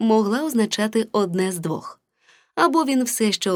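Against a quiet background, the text is given a plain reading aloud.

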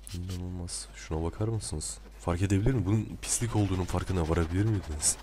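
With a very deep, low pitch and a dark, mellow tone, a man speaks somewhat breathily at a very fast pace, with very wide pitch swings. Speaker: video creator. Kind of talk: casual video commentary. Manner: chatty, self-deprecating, laughs often.

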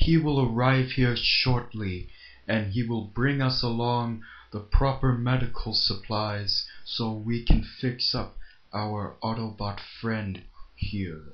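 At a fairly slow pace, a man puts on a character voice at medium pitch. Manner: formal, polite.

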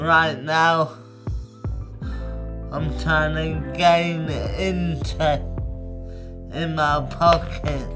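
Clear music plays in the background. Over it, a man speaks at a very slow pace. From London. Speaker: spoken word poet. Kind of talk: spoken word poetry. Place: home room. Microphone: lapel.

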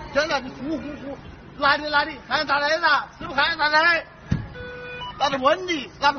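Over noticeable background noise, a man with a Wuhan accent talks at a moderate pace and an extremely high pitch, his intonation fairly even. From Wuhan, China. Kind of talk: street argument with police. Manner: aggressive, cursing, shouting.

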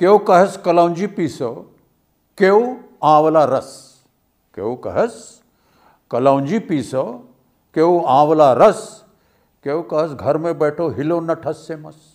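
Against a quiet background, a man with a fairly high pitch speaks at a very slow pace with long, frequent pauses, ordinary pitch variation and big swings in loudness. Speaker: film actor. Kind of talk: poetry reading. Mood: playful, expressive.

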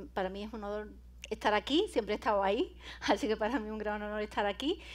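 With an Andalusian accent and an animated tone, a woman talks at a fairly quick pace and fairly high pitch with ordinary pitch variation. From Andalusia, Spain. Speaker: cybersecurity speaker and lecturer; speaker, lecturer. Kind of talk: conference talk. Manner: animated, informal. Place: hall.

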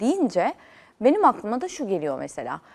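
A woman speaking at a moderate pace. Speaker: talk show host. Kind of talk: interview. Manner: animated, high energy.

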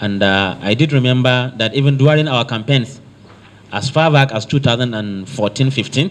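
Speaking at a medium pitch, a man talks with a Nigerian accent. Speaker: state works commissioner, visiting official. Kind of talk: formal official meeting address. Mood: earnest, measured appeal. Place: meeting room. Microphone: handheld.

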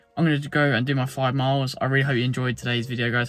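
Faint music plays behind a man whose voice has a dry sound with no echo. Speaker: running vlogger. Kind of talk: casual vlog chat. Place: car. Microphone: phone near.

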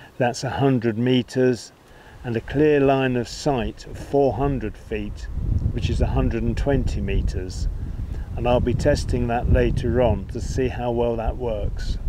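Light background noise sits behind a man whose monotone, flat intonation is recorded with a dry sound and no echo. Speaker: product reviewer. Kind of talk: product review talk to camera. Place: waterside. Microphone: lapel.

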